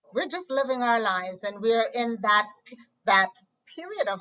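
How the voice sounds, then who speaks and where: A woman with a plain, everyday voice speaks fairly slowly, her fairly high pitch showing ordinary pitch variation. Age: 60s. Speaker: podcaster acting as interviewer. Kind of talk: casual interview conversation.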